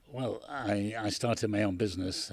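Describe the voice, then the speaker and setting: This man's voice sits at a very deep, low pitch and sounds somewhat breathy, with fairly even intonation. The recording is very clean, with a silent background. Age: 80s+. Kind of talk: interview answer.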